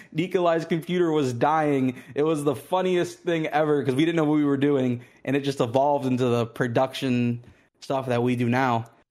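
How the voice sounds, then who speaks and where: With an American accent and an ordinary speaking voice, a man of fairly high pitch talks at a moderate pace with ordinary pitch variation and hardly any pauses, in a very clean recording with a silent background. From Pittsburgh, Pennsylvania. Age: 20s. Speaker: former competitive gamer and esports business owner. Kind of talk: casual chat. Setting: live-streamed podcast.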